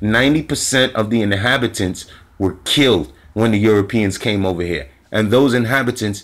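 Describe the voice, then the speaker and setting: A man speaks at a moderate pace in a fairly low voice. His pitch varies in an ordinary way. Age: 40s. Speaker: spiritual commentator. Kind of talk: monologue. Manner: animated. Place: home room. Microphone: phone near.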